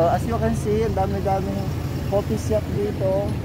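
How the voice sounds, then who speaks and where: The sound is dry with no echo, though loud background noise runs underneath. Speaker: vlogger. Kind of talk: casual vlog chat. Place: street. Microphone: phone near.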